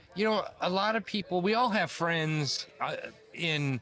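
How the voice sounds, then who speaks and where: A man speaks at a fairly slow pace with lively intonation while music plays in the background. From US West Coast, Bay Area. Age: 60s. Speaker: retired pro BMX rider. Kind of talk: casual interview chat.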